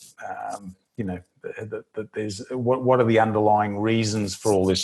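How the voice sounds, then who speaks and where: The voice carries an Australian accent at a moderate pace. Its intonation is monotone and flat. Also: man. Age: 60s. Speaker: financial newsletter editor. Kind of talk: interview. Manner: halting, many repetitions and fillers.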